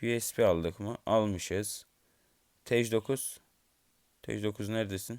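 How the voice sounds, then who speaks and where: Speaking very slowly with long, frequent pauses, a man keeps a fairly low pitch and fairly even intonation. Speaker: gaming YouTuber. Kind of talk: gameplay commentary. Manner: low-energy.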